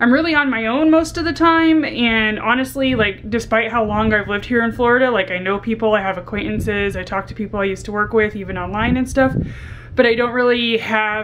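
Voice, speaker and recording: A woman talks at a fairly quick pace, her pitch varying in an ordinary way, with noticeable background noise behind her. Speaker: vlogger. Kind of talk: casual vlog chat. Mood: candid, reflective. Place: home room.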